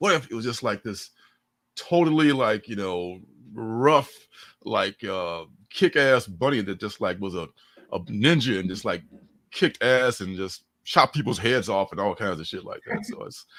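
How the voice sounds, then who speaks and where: This man talks at a moderate pace in a medium pitch, with lively intonation and big swings in loudness, on a very clean recording with a silent background. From Chicago, Illinois (parents from Mississippi). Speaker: comic book creator. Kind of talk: casual interview chat. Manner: casual, many fillers.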